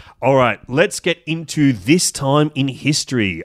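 With an Australian accent, a man speaks in an animated tone at a medium pitch. The recording is very clean and silent behind him, with a dry, close sound and no echo. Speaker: podcast host. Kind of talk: casual chat. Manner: animated, swears casually.

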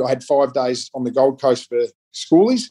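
A man with an Australian accent, dark, mellow tone and moderate pace, in a dry, close sound with no echo. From eastern Melbourne, Australia. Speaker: retired Australian rules footballer. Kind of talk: casual interview.

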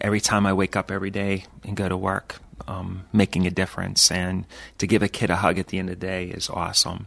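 Speaking with an American accent in a warm tone, a man uses a very deep, low pitch at a moderate pace. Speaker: priest and radio host. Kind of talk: radio interview. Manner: warm, conversational, with fillers.

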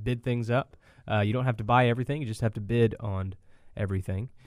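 This man has an unremarkable speaking voice, pitched in the medium range with ordinary pitch variation. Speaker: auctioneer, co-host. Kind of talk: casual radio talk show.

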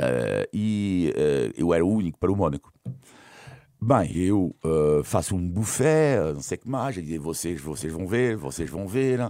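A man's very deep, low voice in a French accent, dark and mellow, very slow, with very wide pitch swings. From France. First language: French (speaking Portuguese). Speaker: sports journalist and commentator. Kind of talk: casual interview.

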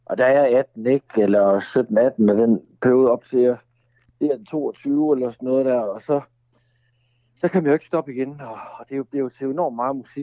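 The speech moves at a moderate pace, broken by long, frequent pauses. Pitch variation is ordinary. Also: man, medium pitch for a man. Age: 40s. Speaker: songwriter. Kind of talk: casual chat. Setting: phone call.

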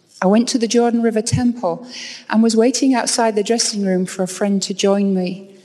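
A woman at a medium pitch, fairly even in intonation and moderate in pace, with noticeable background noise. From England, York. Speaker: university professor. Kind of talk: devotional speech. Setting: stage with audience.

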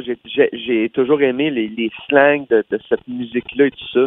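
A man at medium pitch with a Quebec accent, fairly even intonation and a fairly slow pace. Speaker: country singer. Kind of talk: interview. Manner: halting, with many repeated words.

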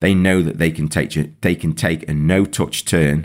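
A very deep, low male voice with ordinary pitch variation. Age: 50s. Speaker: football coach and podcast host. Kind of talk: solo podcast monologue. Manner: halting, with repetitions and fillers.

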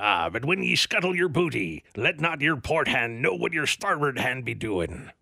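Using a put-on character voice at medium pitch, a man swings his pitch very widely at a moderate pace with hardly any pauses.

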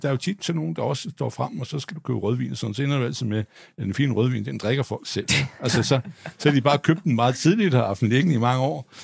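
With vocal fry and a medium pitch, a man races along at a very fast pace with lively intonation and hardly any pauses. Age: 60s. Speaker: stock analyst. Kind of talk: live panel debate. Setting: stage with audience. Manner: halting.

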